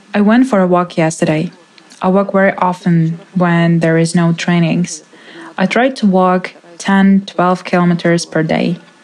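A woman with a Ukrainian accent, fairly low pitch, fairly even intonation and very even loudness at a moderate pace, over noticeable background noise. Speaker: interpreter voicing a displaced woman. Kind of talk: dubbed testimony.

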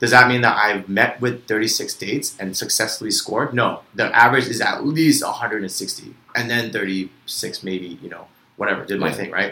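A man with an American accent speaks in a plain, everyday voice, his loudness rising and falling sharply. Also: medium pitch for a man, ordinary pitch variation, moderate pace. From US, Vietnamese American family. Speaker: podcast co-host. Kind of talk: casual chat.

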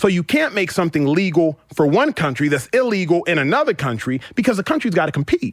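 Delivered at a very fast pace with hardly any pauses, this American-accented voice has very wide pitch swings and a dry, close sound with no echo. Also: man, high pitch for a man. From US South, Dallas, Texas. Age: 30s. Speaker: retired football player turned sports talk host. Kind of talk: casual chat.

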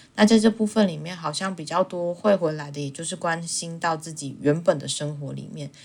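Captured in a very clean recording with a silent background, a normal speaking voice runs at a fairly quick pace with hardly any pauses, ordinary pitch variation and big swings in loudness. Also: woman, fairly low pitch for a woman. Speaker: podcast co-host. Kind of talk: casual chat.

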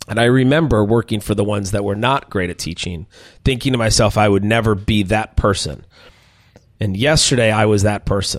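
Speaking with an American accent, a man with an unremarkable speaking voice talks at a fairly quick pace, his fairly low pitch showing ordinary variation. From Minnesota. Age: 40s. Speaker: chef and restaurant owner. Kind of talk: interview conversation.

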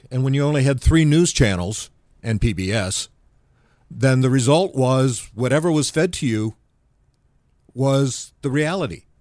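Over a quiet background, a man with an American accent speaks at a medium pitch and moderate pace, with long, frequent pauses. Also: lively intonation. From US Midwest, Dearborn, Michigan. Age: 60s. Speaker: libertarian political activist. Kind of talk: interview conversation.

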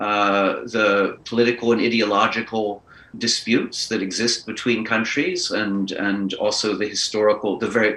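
The man's tone is bright and sharp. He keeps to a moderate pace. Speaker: book editor and poet. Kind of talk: interview. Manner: halting.

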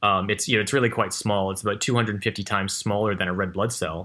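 A man talks in an American accent with a bright, sharp tone. The recording is very clean, with a silent background. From California. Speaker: marine biotech entrepreneur. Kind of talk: interview. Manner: halting.

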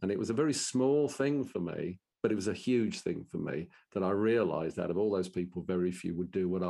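A man speaks very fast in a fairly low voice against a quiet background. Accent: Brummie. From Birmingham, England. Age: 60s. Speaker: business owner and professional speaker. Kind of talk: interview conversation.

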